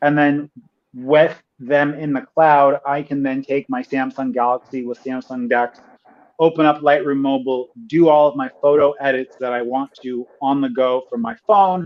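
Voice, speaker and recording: The speaker has a plain, everyday voice. The pace is moderate, with ordinary pitch variation. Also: man, fairly high pitch for a man. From United States. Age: 30s. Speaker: tech video creator. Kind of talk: casual chat. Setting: livestream.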